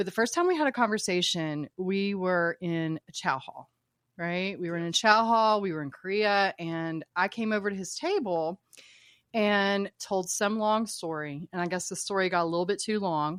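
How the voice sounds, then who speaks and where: Speaking in an American accent at medium pitch and a moderate pace with ordinary pitch variation, a woman sounds dry and close with no echo in a very clean recording with a silent background. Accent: Appalachian, stronger in the past. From Appalachia, southern West Virginia / eastern Kentucky. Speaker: military veteran. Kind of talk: casual chat.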